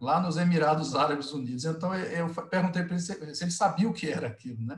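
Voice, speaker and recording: A man with a northeastern Brazilian accent speaks at a fairly quick pace in a high pitch with lively intonation. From Northeast Brazil, Alagoas. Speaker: sugarcane industry executive. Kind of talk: webinar panel discussion. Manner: hesitant, with repetitions.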